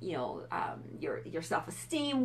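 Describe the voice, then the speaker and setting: A woman's voice with vocal fry. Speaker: fitness and nutrition coach. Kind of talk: live stream talk. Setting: Facebook live video. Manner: fast; animated.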